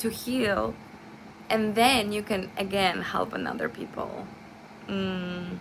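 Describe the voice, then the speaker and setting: With a non-native accent, a woman speaks at a very slow pace with long, frequent pauses over noticeable background noise. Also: medium pitch for a woman, ordinary pitch variation. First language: not English. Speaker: nursing student. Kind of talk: class presentation. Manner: halting, with many fillers and self-corrections.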